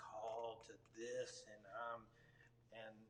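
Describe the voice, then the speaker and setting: A man talks with a Texan accent. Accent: Texan American. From Texas, Dallas area. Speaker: worship leader. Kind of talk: interview. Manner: halting.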